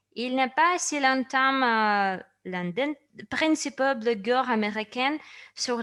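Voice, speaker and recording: High-pitched woman's voice with a non-native accent, a bright, sharp tone and ordinary pitch variation. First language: not French (speaking French). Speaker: company presenter. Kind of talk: product presentation. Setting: online session.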